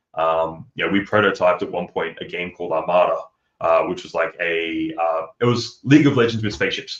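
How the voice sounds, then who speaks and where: The speaker is a man with an Australian accent. He keeps to a moderate pace. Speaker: game developer. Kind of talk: casual chat. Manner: halting, many fillers; animated.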